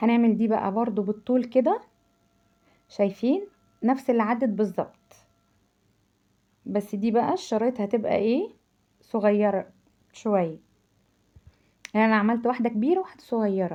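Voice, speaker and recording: The voice has a dark, mellow tone and very even loudness, moving at a moderate pace with ordinary pitch variation and long, frequent pauses. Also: woman, fairly high pitch for a woman. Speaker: cooking channel host. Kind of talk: cooking tutorial. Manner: halting, repeats syllables; chatty, animated.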